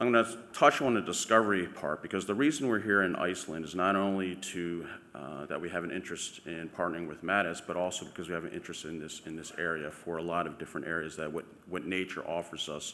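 A man's very deep, low voice at a very fast pace with hardly any pauses, ordinary pitch variation, big swings in loudness and light background noise. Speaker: presenter. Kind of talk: conference talk. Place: hall. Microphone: podium.

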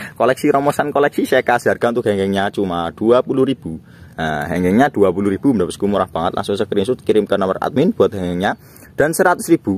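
A man talks at a fairly quick pace with lively intonation and a fairly low pitch. The sound is dry, with no echo. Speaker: online plant seller. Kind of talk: street-market sales pitch, rattling off plant prices to viewers. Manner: rapid-fire hawker patter, repeating prices and pet phrases; jokey and playful. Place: garden. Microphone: phone near.

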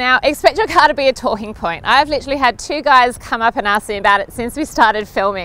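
A woman's raised, projected voice swings very widely in pitch at a moderate pace, with music in the background and a dry sound free of echo. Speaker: presenter. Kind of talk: presenter review to camera. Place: open country. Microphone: lapel.

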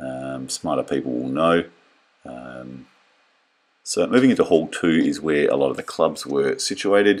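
A man with an Australian accent talks at a moderate pace, with long, frequent pauses and big swings in loudness. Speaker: car enthusiast vlogger. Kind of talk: video voiceover narration. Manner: casual, many filler ums.

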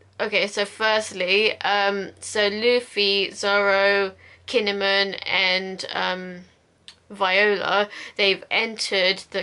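Her intonation stays flat, monotone from start to finish. The voice belongs to a woman. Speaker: anime reaction vlogger. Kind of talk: casual episode recap commentary. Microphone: webcam.

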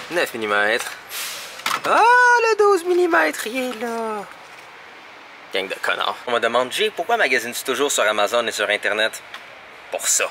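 A man's voice at a very slow pace, with long, frequent pauses over noticeable background noise. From Quebec. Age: 20s. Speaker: vlogger. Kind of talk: casual vlog talk; tech tutorial. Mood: annoyed, sarcastic. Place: shop. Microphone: phone near.

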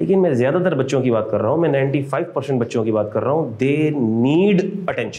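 The speech moves at a fairly quick pace with lively intonation. Its loudness stays very even throughout. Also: man, medium pitch for a man. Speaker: accounting lecturer. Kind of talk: lecture. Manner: animated. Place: classroom.

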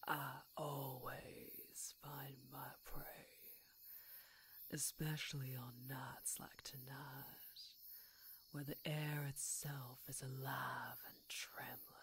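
Whispering in a put-on character voice, a woman speaks very slowly with a menacing tone and long, frequent pauses. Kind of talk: ASMR roleplay, close-mic. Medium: audio drama. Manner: menacing, teasing, purring.

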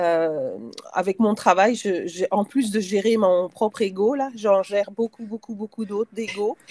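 Dry and with no echo, a woman's dark, mellow tone moves at a fairly slow pace with ordinary pitch variation. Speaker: participant. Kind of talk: storytelling. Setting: video call. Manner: hesitant. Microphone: video call.

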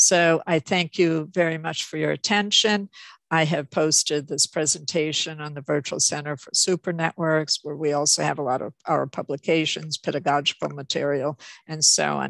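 A woman with a very deep, low pitch speaks in fairly even intonation, the sound dry with no echo over a quiet background. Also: moderate pace, big swings in loudness. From Canada. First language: Ukrainian. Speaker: professor. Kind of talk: lecture. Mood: warm, grateful closing. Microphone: video call.

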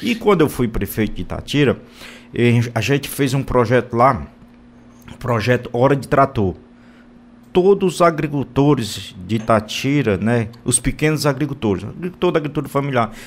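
A man with a Ceará accent speaks with lively intonation and long, frequent pauses. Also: medium pitch for a man, moderate pace. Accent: northeastern Brazilian (Cearense) Portuguese. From Brazil, sertão central of Ceará (Boa Viagem); Ceará, Brazil. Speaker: state politician. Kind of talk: radio interview. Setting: radio studio. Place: studio.

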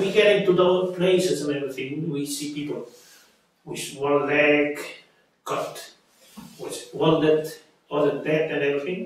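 A man talks at a fairly slow pace and fairly high pitch, with long, frequent pauses. His loudness swings widely amid strong room echo. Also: ordinary pitch variation. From Puerto Rico. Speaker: army veteran. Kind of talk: oral history interview answer. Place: home room.

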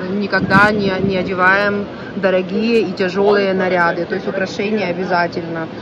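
A woman of medium pitch speaks at a moderate pace with monotone, flat intonation. The sound is dry with no echo, though there is noticeable background noise. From Ukraine. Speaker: vlogger. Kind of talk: walking vlog tour. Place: market. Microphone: phone near.

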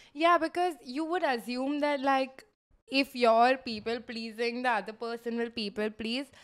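Against a quiet background, a woman with a high pitch speaks at a moderate pace with ordinary pitch variation. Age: 20s. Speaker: podcast co-host. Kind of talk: casual chat. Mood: relaxed, animated chat. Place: home room. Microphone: handheld.

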